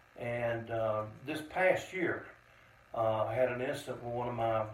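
A man's medium-pitched voice in a Southern US accent, at a moderate pace with fairly even intonation, over noticeable background noise. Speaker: Vietnam veteran and VFW commander. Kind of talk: testimony. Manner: plainspoken; measured.

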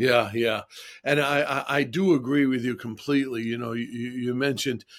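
With an unremarkable speaking voice, a man talks at a medium pitch and moderate pace, his pitch varying in an ordinary way. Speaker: podcast host. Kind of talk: interview.

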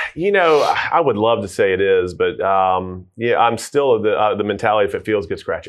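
A man with a Southern US accent, hardly any pauses. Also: moderate pace. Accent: Southern US (Georgia). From US South, Georgia (Tucker). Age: 40s. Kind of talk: casual interview.

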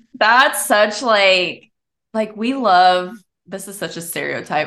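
In an American accent, a woman speaks with a plain, everyday voice at a medium pitch. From Pasadena, Texas. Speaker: podcast host. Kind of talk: casual chat.

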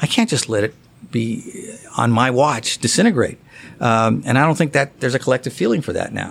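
A man with an American accent talks at a fairly quick pace at a medium pitch. He has ordinary pitch variation and a plain, everyday voice. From US West Coast. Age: 60s. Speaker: golf writer. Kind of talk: casual interview.

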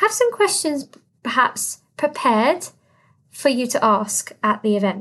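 A woman with a British accent speaks at a very slow pace in a high pitch. Her tone is bright and sharp, and her pitch swings very widely. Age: 30s. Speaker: podcast host and business consultant. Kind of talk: solo podcast monologue. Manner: animated.

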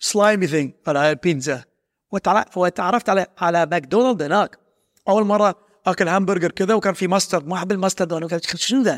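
At a moderate pace, a man speaks in a high pitch with ordinary pitch variation and very even loudness, the recording very clean with a silent background and a dry, close sound with no echo. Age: 50s. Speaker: self-development coach. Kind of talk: motivational talk. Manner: animated.

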